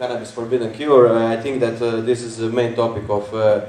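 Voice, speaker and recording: A man speaks at a medium pitch with monotone, flat intonation. Audible room echo and noticeable background noise surround the recording. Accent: Croatian. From Croatia. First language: Croatian. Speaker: conference speaker. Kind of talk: lecture. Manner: halting, many fillers.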